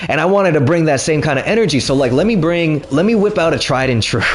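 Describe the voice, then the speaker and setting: There is noticeable background noise and audible room echo. A man speaks with lively intonation at a fairly high pitch. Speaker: stand-up comedian. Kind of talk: storytime while gaming. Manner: animated, expressive.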